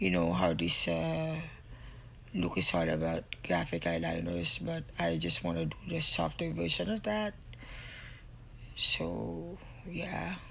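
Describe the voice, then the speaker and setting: A woman speaks at a very slow pace with long, frequent pauses, and audible echo fills the room. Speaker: beauty vlogger. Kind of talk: makeup tutorial voiceover. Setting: recorded voiceover at home. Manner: casual, halting with fillers.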